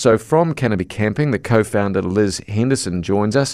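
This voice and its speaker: Fairly quick and with lively intonation, a man speaks in a fairly low voice. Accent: New Zealand. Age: 50s. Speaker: radio host. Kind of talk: radio interview.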